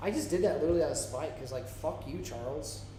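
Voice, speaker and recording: In an animated tone with very wide pitch swings, a speaker with an American accent is heard amid noticeable background noise and audible room echo. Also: man. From Florida. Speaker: indie filmmaker and English teacher, live stream co-host. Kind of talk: casual chat. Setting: live stream.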